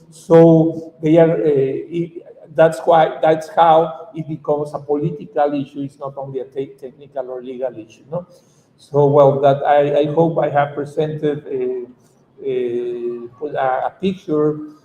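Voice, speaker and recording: Speaking with a Mexican accent, a man with a fairly high pitch talks at a fairly slow pace, his intonation fairly even while his loudness swings widely. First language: Spanish. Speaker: activist lawyer. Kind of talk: conference talk. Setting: conference panel. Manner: halting.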